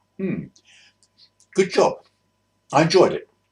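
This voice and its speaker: A man speaks with a London accent. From South East London. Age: 80s+. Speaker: retired bus driver. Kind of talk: casual reminiscence to camera. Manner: hesitant, rambling.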